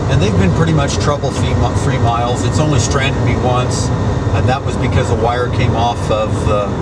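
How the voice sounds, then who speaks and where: Loud background noise surrounds a voice speaking at a moderate pace. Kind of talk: casual show-and-tell commentary. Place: car. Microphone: phone near.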